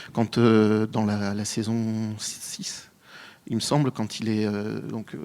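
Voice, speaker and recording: A man's voice at a medium pitch. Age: 30s. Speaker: panelist. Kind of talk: panel discussion. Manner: hesitant, many fillers.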